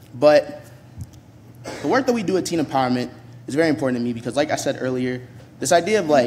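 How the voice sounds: Speaking fast with an American accent, the voice has lively intonation and a slightly mellow tone. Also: man, medium pitch for a man.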